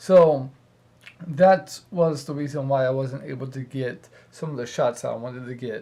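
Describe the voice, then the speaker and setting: A man with a fairly high pitch and ordinary pitch variation speaks at a fairly slow pace in a somewhat breathy voice. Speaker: cosplay vlogger. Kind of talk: casual vlog talk. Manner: hesitant, many ums.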